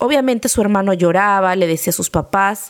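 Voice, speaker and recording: A woman speaks with ordinary pitch variation. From Mexico. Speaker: podcast host, former nanny. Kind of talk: personal storytelling.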